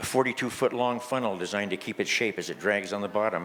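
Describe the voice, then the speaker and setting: A man speaks fairly quickly, his pitch varying in an ordinary way, while noticeable background noise runs underneath. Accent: American. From California, Italian fishing community. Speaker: fisherman poet. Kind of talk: reading aloud.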